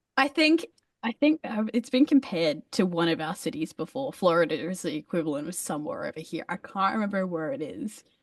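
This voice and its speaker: A woman with an Australian accent, medium pitch, very wide pitch swings and a fairly quick pace, in a dry, close sound with no echo. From Australia, Brisbane. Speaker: metal musician. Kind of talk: casual chat.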